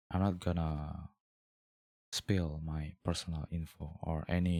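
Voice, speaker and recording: A man speaks with a non-native accent and a very deep, low pitch. His intonation is flat and monotone, and the sound is dry and close with no echo. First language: not English. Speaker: vlogger. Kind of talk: casual personal monologue, video diary. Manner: hesitant, rambling.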